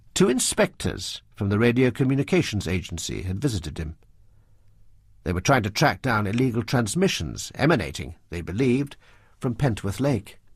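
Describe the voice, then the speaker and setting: Using vocal fry, a man with a fairly low pitch speaks at a moderate pace with very wide pitch swings. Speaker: audiobook narrator. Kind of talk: audiobook narration.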